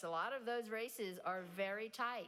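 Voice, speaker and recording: A woman's fairly high-pitched voice at a fairly slow pace, with audible room echo. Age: 60s. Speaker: nonprofit president and keynote speaker. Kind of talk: audience Q&A. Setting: stage with audience.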